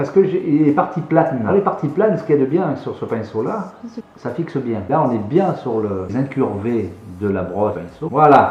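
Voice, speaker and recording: At a moderate pace and medium pitch, a man speaks with very wide pitch swings. Noticeable background noise can be heard. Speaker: painter. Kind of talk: casual conversation.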